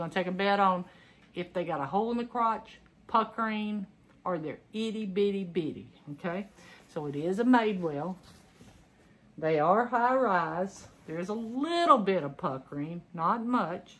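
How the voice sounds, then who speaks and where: Speaking with a Southern US accent at a medium pitch, a woman keeps a moderate pace broken by long, frequent pauses, with lively intonation and big swings in loudness. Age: 50s. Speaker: clothing reseller, retired teacher. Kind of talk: casual unboxing vlog. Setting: home recording. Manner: chatty, conversational. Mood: upbeat, playful. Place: home room. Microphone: phone near.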